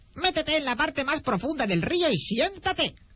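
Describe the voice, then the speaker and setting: A high-pitched, put-on character voice. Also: moderate pace. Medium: read story. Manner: interjecting "oh!".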